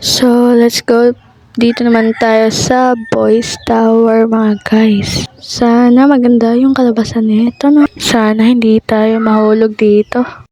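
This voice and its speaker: Against noticeable background noise, a woman with a fairly high pitch speaks at a very slow pace in a monotone, flat intonation, with hardly any pauses and very even loudness. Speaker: gaming youtuber. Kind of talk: gameplay commentary.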